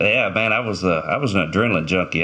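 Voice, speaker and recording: Against a quiet background, a man with an Arkansas accent talks at a fairly quick pace in a very deep, low voice that has a bright, sharp tone and ordinary pitch variation. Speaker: former game warden, shooting survivor. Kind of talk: interview storytelling.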